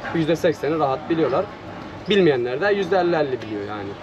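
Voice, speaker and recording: Noticeable background noise behind a man's very fast pace of speech. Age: 20s. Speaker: ice cream vendor. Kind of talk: casual street interview. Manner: hesitant, many filler sounds.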